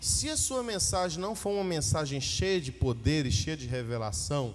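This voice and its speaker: This is a man with a fairly high pitch. His pitch swings very widely. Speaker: pastor. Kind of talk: teaching to church leaders. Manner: slow, measured.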